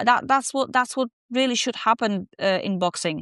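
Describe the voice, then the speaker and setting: A woman's high-pitched, bright, sharp voice in a Polish accent, with lively intonation at a moderate pace, dry and close with no echo against a quiet background. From southern Poland. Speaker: professional boxer. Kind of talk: podcast interview. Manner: halting.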